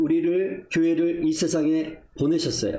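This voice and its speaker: Audible room echo surrounds a man's high-pitched voice, dark and mellow in tone, delivered at a fairly slow pace with ordinary pitch variation. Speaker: missionary preacher. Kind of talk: sermon.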